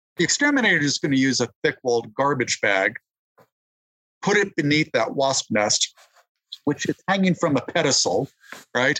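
A man with an American accent speaks at a moderate pace in a bright, sharp tone, his intonation lively and his loudness very even, broken by long, frequent pauses. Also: dry, close sound with no echo. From New Mexico, US Southwest (Albuquerque). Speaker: entomologist and author. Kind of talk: interview. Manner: halting, with fillers and repetitions.

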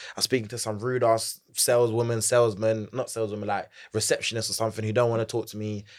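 A man with a London accent, energetic and animated, at medium pitch and a very fast pace. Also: very clean recording, silent background. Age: 20s. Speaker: Gen Z corporate advisor and entrepreneur. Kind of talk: casual interview chat. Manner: energetic, animated.

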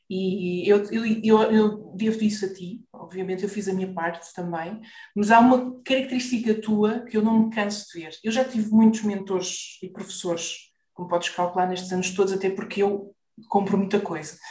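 The loudness swings widely while the intonation stays fairly even, with audible echo from the room. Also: woman, medium pitch for a woman, moderate pace. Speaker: business mentor for therapists. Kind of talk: interview.

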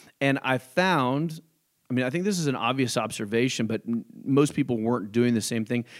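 This man has a plain, everyday voice at medium pitch, with an American accent. He talks at a fairly quick pace with ordinary pitch variation. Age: 30s. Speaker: real estate brokerage owner. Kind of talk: casual interview. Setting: studio.

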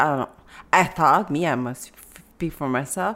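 A woman speaks at a moderate pace in a plain, everyday voice. Her intonation is lively. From Africa, raised in Canada from age ten. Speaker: author with multiple sclerosis. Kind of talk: interview.

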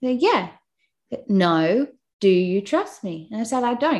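A woman talks at a moderate pace in an Australian accent. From Australia, Newcastle NSW. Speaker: podcast host and mother. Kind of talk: casual interview, personal testimony. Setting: remote call. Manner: warm, chatty.

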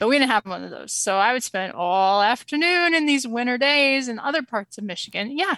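A woman with an American accent speaks at a fairly quick pace in a high, bright, sharp voice, her intonation lively and hardly any pauses breaking it up. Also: dry, close sound with no echo. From Springfield, Missouri. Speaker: small business owner. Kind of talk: casual interview.

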